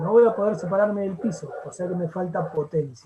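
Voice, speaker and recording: Lively intonation at a moderate pace. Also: man. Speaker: fitness instructor teaching a class. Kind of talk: lecture.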